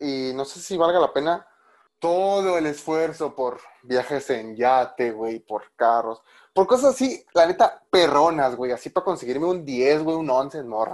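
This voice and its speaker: A man with a Mexican accent talks at a fairly slow pace and a fairly high pitch. His pitch varies in an ordinary way over a quiet background. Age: 20s. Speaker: podcast host. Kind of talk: casual chat.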